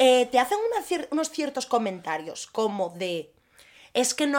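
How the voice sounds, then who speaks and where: A woman speaks in a high voice at a moderate pace. The recording is very clean, with a silent background. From Asturias, Spain (Gijón). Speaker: podcast co-host. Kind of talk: casual chat.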